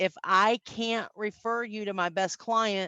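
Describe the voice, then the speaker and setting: A woman is speaking. She has a slight Southern US accent. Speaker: business networking trainer. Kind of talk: conference talk.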